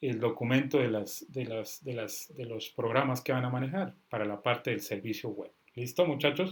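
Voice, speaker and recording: A man speaks at a moderate pace with a somewhat breathy voice and ordinary pitch variation. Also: medium pitch for a man, hardly any pauses. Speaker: software instructor. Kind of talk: online class. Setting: video call. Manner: stern, forceful.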